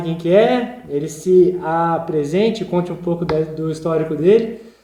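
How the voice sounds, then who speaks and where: Audible room echo surrounds a man's voice. He talks at a moderate pace with ordinary pitch variation. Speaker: podcast host. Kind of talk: podcast interview.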